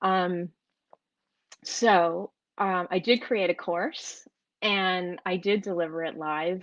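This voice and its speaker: In an American accent, a woman speaks at a very slow pace with long, frequent pauses. Her medium-pitched voice keeps a fairly even intonation against a quiet background. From New York / New Jersey, US. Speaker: entrepreneur and course creator. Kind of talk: live video talk to an online group. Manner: halting, many fillers and repetitions.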